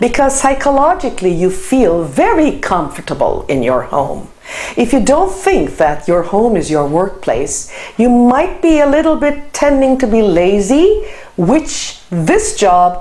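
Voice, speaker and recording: Amid noticeable background noise and audible room echo, a woman speaks fairly slowly at a high pitch with very wide pitch swings. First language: Turkish. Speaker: lecturer. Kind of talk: lecture.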